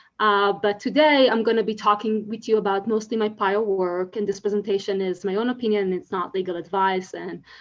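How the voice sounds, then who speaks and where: In an Israeli accent, a woman talks at a fairly quick pace with hardly any pauses and fairly even intonation. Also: medium pitch for a woman. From Israel, Tel Aviv. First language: Hebrew. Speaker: legal scholar, conference speaker. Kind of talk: conference talk.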